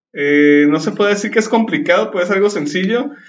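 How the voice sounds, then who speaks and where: A man's high-pitched voice carries lively intonation throughout. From Mexico. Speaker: podcast host. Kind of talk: panel discussion.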